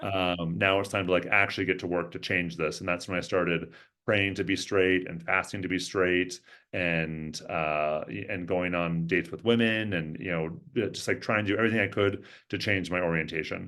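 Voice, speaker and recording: A man's very deep, low voice with fairly even intonation at a moderate pace. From US Pacific Northwest, Everett, Washington. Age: 40s. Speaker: social work professor and therapist. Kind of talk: interview conversation. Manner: many fillers and restarts.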